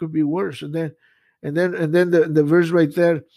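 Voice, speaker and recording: Fairly high in pitch, a man with a Spanish accent speaks at a fairly quick pace in a very clean recording with a silent background. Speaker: pastor. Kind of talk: sermon. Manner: halting, frequent repetitions.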